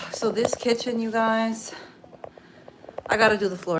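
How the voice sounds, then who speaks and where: A woman with an American accent at a fairly quick pace, over noticeable background noise. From New Jersey, US. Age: 30s. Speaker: cleaning business owner. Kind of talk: casual live stream chat while cleaning. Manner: chatty, conversational.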